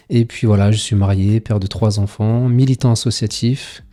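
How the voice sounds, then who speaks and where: A man talks with a fairly low pitch over background music. His intonation stays fairly even. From France, Paris suburbs (Seine-Saint-Denis). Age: 40s. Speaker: local politician. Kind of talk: interview. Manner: hesitant, frequent fillers.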